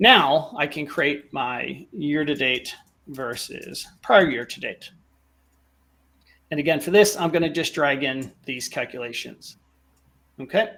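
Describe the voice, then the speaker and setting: A man speaks with long, frequent pauses and ordinary pitch variation. His loudness swings widely. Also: fairly high pitch for a man, fairly slow pace. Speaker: data visualization presenter. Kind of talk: tutorial.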